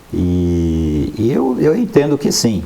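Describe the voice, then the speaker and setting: A man with a very deep, low voice speaks over noticeable background noise, and room echo can be heard. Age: 60s. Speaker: news commentator. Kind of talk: panel discussion.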